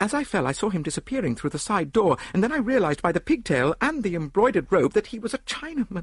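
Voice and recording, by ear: A man puts on a character voice, high and slightly husky, with big pitch swings. He moves at a fast pace.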